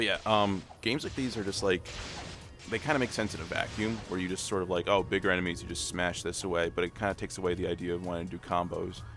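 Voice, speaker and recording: Music plays in the background as a man with a very deep, low pitch talks at a very fast pace, his pitch varying in an ordinary way. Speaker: video game streamer. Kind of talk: live gameplay commentary. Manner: soft-spoken; casual, filler-heavy.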